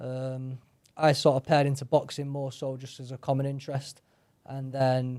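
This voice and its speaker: A man with a Manchester accent speaks at a moderate pace with a fairly high pitch. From northern England, Salford, Manchester. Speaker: mixed martial artist. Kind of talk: interview.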